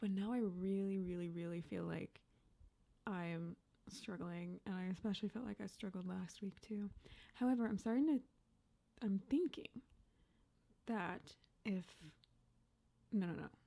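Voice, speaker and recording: Soft-spoken and dark, mellow in tone, a woman at medium pitch uses ordinary pitch variation and takes long, frequent pauses. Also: moderate pace. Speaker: Sims speed build YouTuber. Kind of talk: casual voiceover commentary. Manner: quiet, soft-spoken.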